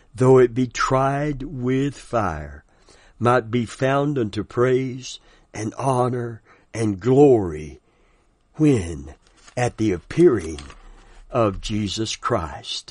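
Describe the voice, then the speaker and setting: A man's very slow, lively intonation with long, frequent pauses against a quiet background. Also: medium pitch for a man. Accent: Southern US. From US South. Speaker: pastor. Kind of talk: sermon. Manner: animated.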